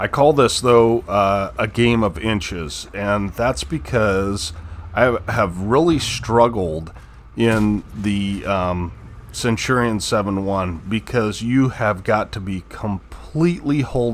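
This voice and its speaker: The speech moves at a very slow pace with lively intonation. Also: man. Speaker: gaming youtuber. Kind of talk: gameplay commentary. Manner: halting; casual.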